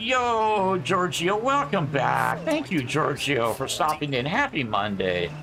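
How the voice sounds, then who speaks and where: Very wide pitch swings and very even loudness mark this very slow delivery with hardly any pauses, heard with audible room echo. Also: man, fairly high pitch for a man. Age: 60s. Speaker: sim racing game streamer. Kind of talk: casual chat. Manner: halting.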